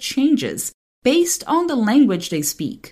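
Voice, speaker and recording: A woman with a Portuguese accent, somewhat breathy, at a moderate pace, on a very clean recording with a silent background. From Brazil. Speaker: translator and podcast host. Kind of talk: podcast monologue and interview.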